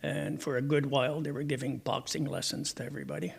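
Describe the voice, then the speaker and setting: There's vocal fry in this man's fairly high-pitched voice, delivered with a Quebec accent. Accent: English-speaking Quebec Canadian. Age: 70s. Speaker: retired teacher. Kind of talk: interview.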